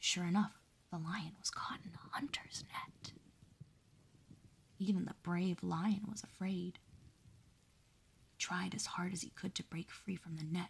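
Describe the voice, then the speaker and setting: A woman with a medium-pitched, somewhat breathy voice speaks at a fairly slow pace with fairly even intonation. Her loudness swings widely, and she takes long, frequent pauses. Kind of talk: calm narration of a children's story, bedtime story reading.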